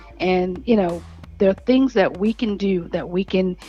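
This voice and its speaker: A woman's dark, mellow tone with fairly even intonation. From New Orleans. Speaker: city council candidate. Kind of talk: interview. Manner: halting.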